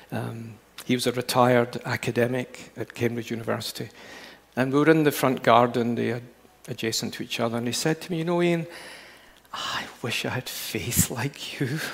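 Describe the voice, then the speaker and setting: A man with a Glasgow accent speaks at a moderate pace in a medium pitch, with ordinary pitch variation. Noticeable background noise runs underneath. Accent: educated Glasgow Scottish. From Scotland. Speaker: preacher. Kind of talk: sermon. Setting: church.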